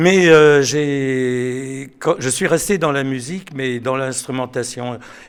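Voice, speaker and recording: A man talks at a very slow pace with hardly any pauses and fairly even intonation. Room echo is audible. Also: medium pitch for a man. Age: 70s. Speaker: choir director. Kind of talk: interview. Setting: concert hall. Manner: halting.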